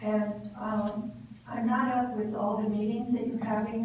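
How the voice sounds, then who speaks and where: A woman talks at a moderate pace in a fairly high voice with fairly even intonation. There is audible room echo and noticeable background noise. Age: 80s+. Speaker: public commenter at a school board meeting. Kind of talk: public comment. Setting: board meeting at a podium.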